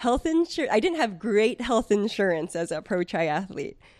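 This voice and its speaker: Dry, close sound with no echo, a quiet background and an American accent. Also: woman. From US West Coast, San Francisco Bay Area. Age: 30s. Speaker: former professional triathlete. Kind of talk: casual interview chat.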